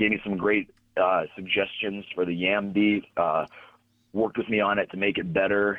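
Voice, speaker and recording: An American accent from a man at fairly low pitch, in a monotone, flat intonation with very even loudness. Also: moderate pace. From Pittsburgh, Pennsylvania. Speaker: pro wrestler and music producer. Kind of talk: casual interview.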